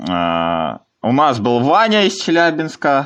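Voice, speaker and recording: A man's voice with very wide pitch swings. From Komi Republic, Russia. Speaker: podcast host. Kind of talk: casual chat.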